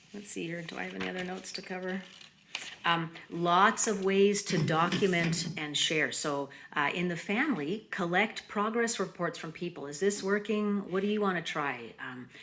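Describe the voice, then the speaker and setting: A woman speaks at a moderate pace in a fairly low pitch, with ordinary pitch variation and big swings in loudness. Noticeable background noise and audible room echo fill the recording. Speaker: mindfulness presenter. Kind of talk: conference presentation.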